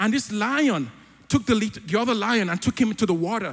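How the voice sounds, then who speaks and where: Speaking in a high pitch, a man moves at a fairly quick pace with lively intonation and an animated tone. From Africa. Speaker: church elder preaching. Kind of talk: sermon. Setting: church.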